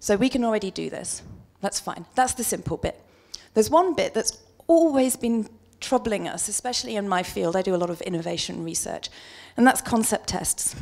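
A woman with a British accent, lively intonation and a fairly quick pace over a quiet background. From UK. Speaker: market researcher; conference presenter. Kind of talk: conference presentation. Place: hall. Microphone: handheld.

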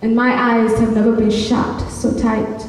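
A woman talks fairly slowly in a monotone, flat delivery. Strong room echo surrounds her voice. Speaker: slam poet. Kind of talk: slam poetry performance. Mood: emotional, longing. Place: stage. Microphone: camera far.

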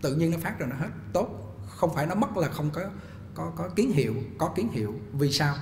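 A man speaks fairly quickly at a fairly high pitch, his voice swinging very widely in pitch. Light background noise and audible room echo are present. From Vietnam. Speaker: Buddhist monk teacher. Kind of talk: Dharma talk lecture. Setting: temple hall, live streamed online. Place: hall. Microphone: podium.

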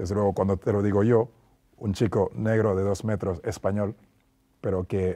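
A man's fairly low voice has a dark, mellow tone. His intonation is fairly even, and the background is quiet. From Senegal. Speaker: former basketball player; interview guest. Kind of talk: interview. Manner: hesitant with fillers. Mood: calm, reflective, friendly. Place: studio. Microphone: lapel.

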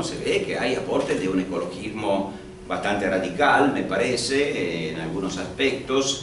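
Light background noise and audible room echo around a man talking. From Italy. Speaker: history professor. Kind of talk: panel discussion. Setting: stage with audience. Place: hall.

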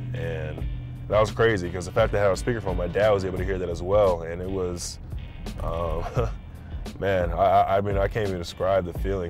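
Over clear background music, a man with a very deep, low pitch and ordinary pitch variation speaks at a fairly quick pace, the sound dry with no echo. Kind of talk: interview answer. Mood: relaxed, warmly reminiscing. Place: car.

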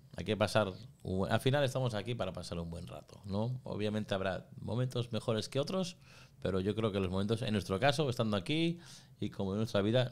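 Fairly quick speech from a man with a fairly low pitch and ordinary pitch variation. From Spain. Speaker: school founder and migrant; podcast guest. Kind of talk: interview. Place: studio. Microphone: studio mic.

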